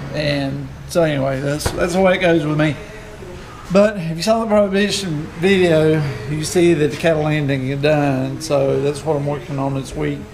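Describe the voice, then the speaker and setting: A man speaks with ordinary pitch variation. Noticeable background noise is present. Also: moderate pace. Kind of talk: casual vlog chat. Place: garage. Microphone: phone near.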